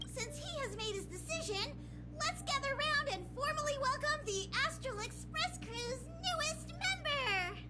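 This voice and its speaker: A put-on character voice performs over clear music in the background. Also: moderate pace. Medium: video game. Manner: officious, earnest.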